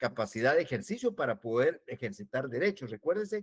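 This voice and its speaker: A man talks at a very fast pace. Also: dry, close sound with no echo. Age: 60s. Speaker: law professor. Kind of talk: lecture. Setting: online class transmission.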